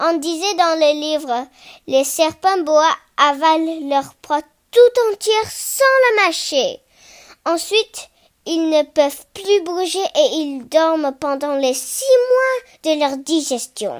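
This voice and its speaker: A woman at an extremely high pitch, talking at a fairly slow pace with lively intonation and long, frequent pauses. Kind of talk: literary audiobook reading. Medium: read story. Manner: calm, natural.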